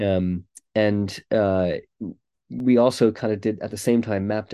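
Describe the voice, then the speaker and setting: A man with an American accent talks in a normal speaking voice at a fairly low pitch. His intonation stays fairly even against a quiet background. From United States. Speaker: pastor. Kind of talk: interview conversation about church.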